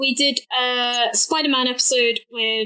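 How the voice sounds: The tone is bright and sharp. Intonation stays fairly even throughout. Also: woman.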